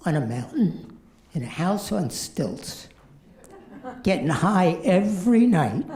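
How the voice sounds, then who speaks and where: The speech moves at a very slow pace, broken by long, frequent pauses, with very wide swings in pitch. Room echo is audible throughout. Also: man. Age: 70s. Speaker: amateur stand-up comedian. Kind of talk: stand-up.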